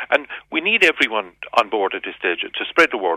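A man with a Cork accent at a fairly quick pace. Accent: Cork Irish. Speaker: police sergeant. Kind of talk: radio interview.

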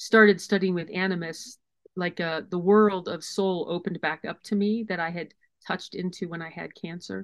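This woman speaks at a moderate pace in a medium pitch, with an unremarkable speaking voice and fairly even intonation. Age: 50s. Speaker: wilderness guide and author. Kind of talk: casual chat.

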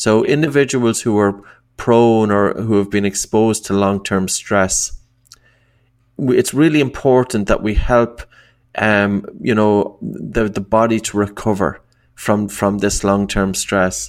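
In an Irish accent, a man speaks at a fairly slow pace with fairly even intonation. His pitch is fairly low. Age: 40s. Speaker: breathing coach and author. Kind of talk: interview.

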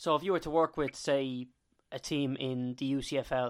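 The speaker has an Irish accent. The recording is very clean with a silent background. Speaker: podcast host. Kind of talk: interview.

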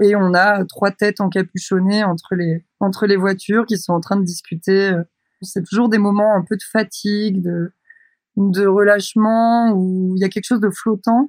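Recorded with a dry, close sound and no echo, a woman speaks at a medium pitch and a fairly slow pace in monotone, flat intonation. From France, Brittany (Douarnenez, Finistère). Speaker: photographer and visual artist. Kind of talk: interview. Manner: hesitant, many filler sounds.

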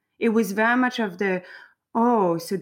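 The speaker has a French accent. Pitch varies in an ordinary way. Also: woman. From south of France. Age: 30s. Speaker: drinks consultant and founder. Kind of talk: interview, casual chat.

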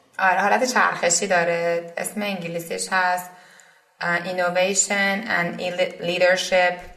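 Audible room echo surrounds a woman speaking at a medium pitch in a monotone, flat intonation at a fairly slow pace. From Iran, Isfahan. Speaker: startup co-founder. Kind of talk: interview.

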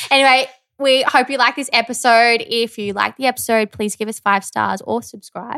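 A woman with an Australian accent has a bright, sharp tone, a fairly high pitch and fairly even intonation in a dry, close sound with no echo. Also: moderate pace, very clean recording, silent background. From rural Victoria, Australia. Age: 30s. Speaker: podcast co-host. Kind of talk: casual chat.

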